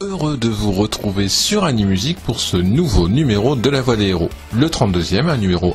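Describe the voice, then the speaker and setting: A man with a fairly low pitch speaks at a moderate pace, his intonation lively. Music plays in the background. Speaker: podcast host. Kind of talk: show introduction.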